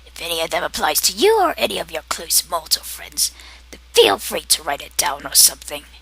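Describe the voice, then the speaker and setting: Someone speaks in a raspy, put-on character voice, with light background noise. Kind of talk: comedic character monologue to camera. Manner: sarcastic, condescending.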